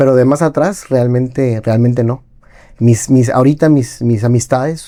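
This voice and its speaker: A man speaks at a fairly slow pace with a medium pitch and a dark, mellow tone. His intonation stays fairly even, and his loudness is very even. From Mexico (Tijuana, moved around). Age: 40s. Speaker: entrepreneur, podcast guest. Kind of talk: interview. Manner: halting, frequent repetitions.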